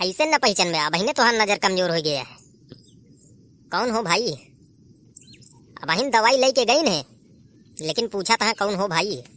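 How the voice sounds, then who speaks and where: A man's high, cartoonish character voice at a moderate pace, with very wide pitch swings and long, frequent pauses. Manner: plain, standard Hindi.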